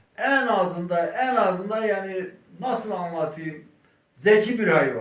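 Lively intonation carries this very slow delivery. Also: man, high pitch for a man. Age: 70s. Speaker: livestock herder and Kangal breeder. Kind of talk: interview answer.

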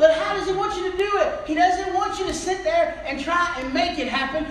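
A man's extremely high-pitched, animated voice amid light background noise and audible room echo. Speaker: preacher. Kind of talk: sermon. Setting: church. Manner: animated, exhorting the congregation with call-and-response; repetitive, building in intensity as he pleads and preaches. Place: church. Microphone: camera far.

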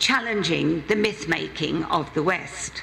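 Over faint background noise, a woman with a fairly bright tone and vocal fry speaks at a slow pace with ordinary pitch variation.

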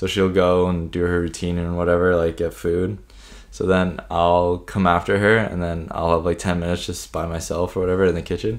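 Over a quiet background, a man talks with a very deep, low pitch. His pace is fairly quick and his intonation fairly even. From Canada. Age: 20s. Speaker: podcast co-host. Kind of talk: casual podcast chat. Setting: home recording. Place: home room. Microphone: studio mic.

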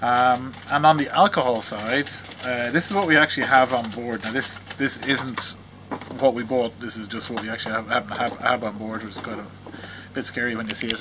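Loud background noise behind a man at a moderate pace. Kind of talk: casual vlog chat. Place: boat. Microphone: phone near.

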